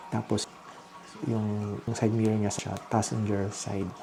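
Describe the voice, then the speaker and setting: Noticeable background noise sits behind a man talking fairly slowly at a fairly low pitch, in a monotone, flat intonation. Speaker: vlogger. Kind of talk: casual vlog narration. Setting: at home at night. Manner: hushed, lowered voice.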